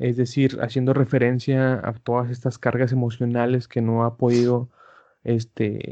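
Against a quiet background, a man speaks at a fairly slow pace with a medium pitch. His tone is dark and mellow, with monotone, flat intonation. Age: 20s. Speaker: podcast co-host. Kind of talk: casual chat.

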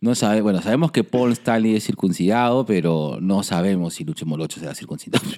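On a very clean recording with a silent background, a man with a fairly low pitch and a dark, mellow tone talks at a very fast pace with lively intonation and hardly any pauses. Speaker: podcast host, psychologist. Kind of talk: casual chat.

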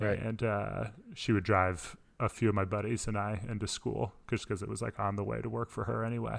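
A man with an American accent speaks at a fairly low pitch, showing vocal fry and fairly even intonation. The recording is very clean, with a silent background. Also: fairly quick pace. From Florida. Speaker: podcast co-host, college sports broadcast director. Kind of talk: casual chat.

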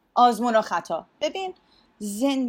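Her pitch sits fairly high for a woman. She speaks with lively intonation. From US and Iran. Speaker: strategic communications leader. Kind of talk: casual chat.

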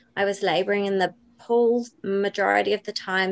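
A woman with a New Zealand accent, medium pitch and fairly even intonation, in a dry, close sound with no echo. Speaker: doula and birth educator. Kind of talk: interview.

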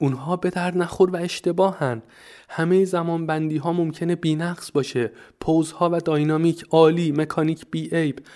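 Over a quiet background, a man with a high pitch and a dark, mellow tone speaks at a moderate pace with fairly even intonation. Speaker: podcast host about animation. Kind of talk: casual podcast monologue. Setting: recording from Prague, Czech Republic. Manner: informal, chatty, rambling.

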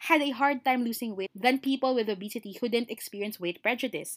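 A woman speaks at a fairly quick pace in a high pitch, her animated tone and lively intonation caught in a dry, close sound with no echo. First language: Filipino (Tagalog). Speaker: podcast co-host. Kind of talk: casual chat. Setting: home recording.

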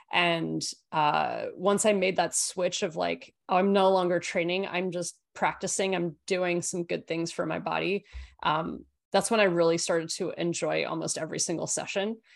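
A woman with a fairly low voice speaks at a moderate pace in monotone, flat intonation against a quiet background. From Australia. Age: 30s. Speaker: movement coach and climber. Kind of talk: interview conversation.

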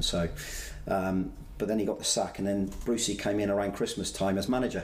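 Very fast speech from a man with a West Country accent and fairly low pitch, plus audible room echo. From Somerset, England (Bristol area). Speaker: former footballer and football manager. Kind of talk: casual interview.

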